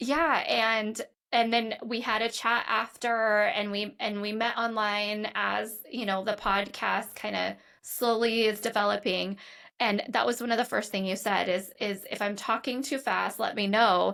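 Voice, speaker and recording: A woman's bright, sharp tone at a fairly high pitch, fairly even intonation and a fairly slow pace, on a very clean recording with a silent background. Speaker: podcast host, licensed clinical social worker. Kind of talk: podcast interview.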